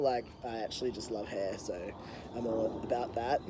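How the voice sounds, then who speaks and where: This man speaks at a moderate pace with ordinary pitch variation. He has a normal speaking voice. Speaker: health coach vlogger. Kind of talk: video diary update. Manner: casual with many fillers.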